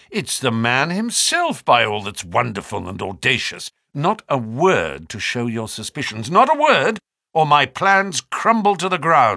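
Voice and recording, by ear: A man puts on a character voice at medium pitch, with a bright, sharp tone and vocal fry. He goes at a fairly slow pace with very wide pitch swings, on a very clean recording with a silent background.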